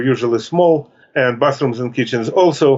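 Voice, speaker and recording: A man talks at a fairly quick pace. He speaks with a Russian accent. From Russia (Soviet Union). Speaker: author. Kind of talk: interview. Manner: halting.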